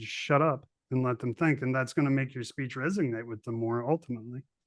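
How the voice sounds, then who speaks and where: This man has an unremarkable speaking voice with a fairly high pitch. His pitch varies in an ordinary way. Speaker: podcast host, army veteran. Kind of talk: casual interview chat.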